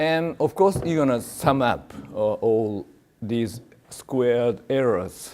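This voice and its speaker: Lively in intonation, a man with a Japanese accent speaks at a medium pitch in a dark, mellow tone. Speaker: professor. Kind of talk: lecture. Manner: halting, many fillers.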